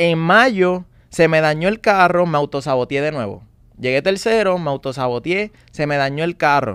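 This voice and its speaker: A man speaks at a moderate pace with lively intonation, his voice dry with no echo against a quiet background. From Puerto Rico. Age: 20s. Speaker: young salesman. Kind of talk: interview testimony. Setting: studio. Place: studio. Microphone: studio mic.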